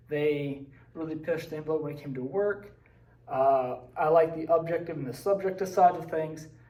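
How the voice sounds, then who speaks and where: With an American accent, a man talks at a moderate pace in a fairly high pitch, his intonation fairly even but his loudness swinging widely. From West Virginia, Braxton County. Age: 20s. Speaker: social studies teacher. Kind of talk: personal presentation / slideshow talk. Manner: casual, with fillers and hesitations.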